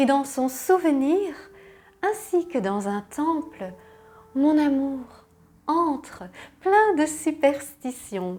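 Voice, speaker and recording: Her pitch high and swinging very widely, a woman speaks at a very slow pace with long, frequent pauses. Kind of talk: poetry reading. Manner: soft-spoken, tender.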